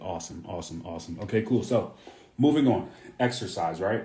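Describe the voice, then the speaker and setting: A man speaks at a moderate pace in a recording with audible room echo and noticeable background noise. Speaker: fitness coach. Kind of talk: live stream Q&A. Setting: Instagram live stream.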